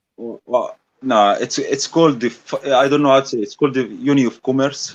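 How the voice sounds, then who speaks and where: A man with a non-native accent speaks at a fairly quick pace. His pitch is medium and his intonation fairly even. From Egypt. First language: Arabic. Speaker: debater. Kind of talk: debate.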